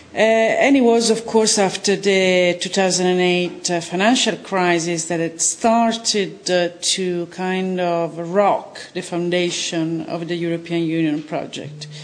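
A woman with an Italian accent speaks very slowly at a fairly low pitch with ordinary pitch variation. Noticeable background noise can be heard. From Italy. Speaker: film director and journalist. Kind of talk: interview.

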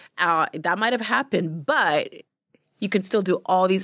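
A woman's ordinary speaking voice at medium pitch and moderate pace, with ordinary pitch variation, on a very clean recording with a silent background. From Uganda-born, raised in London, Ontario. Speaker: filmmaker, journalist and TV personality. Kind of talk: casual interview conversation. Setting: studio.

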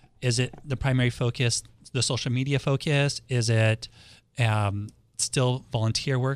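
A man's unremarkable speaking voice with an American accent, medium-pitched, at a moderate pace with fairly even intonation. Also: very clean recording, silent background. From Los Angeles, US West Coast. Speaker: radio host and realtor. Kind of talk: radio talk show interview. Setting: radio studio.

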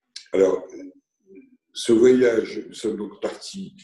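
A man at a very slow pace. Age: 60s. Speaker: retired business owner. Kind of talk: interview.

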